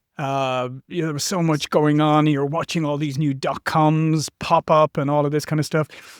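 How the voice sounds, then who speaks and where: Speaking in an Irish accent, a man with a fairly high pitch moves at a fairly quick pace and keeps his intonation fairly even. The very clean recording has a silent background and a dry, close sound with no echo. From Ireland. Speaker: marketing executive. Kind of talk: interview. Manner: halting, with many fillers.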